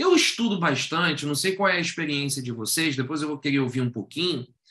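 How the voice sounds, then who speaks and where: A man's bright, sharp tone. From Rio de Janeiro, Brazil. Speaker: educator and workshop facilitator. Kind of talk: online workshop talk. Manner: conversational, engaging audience with questions.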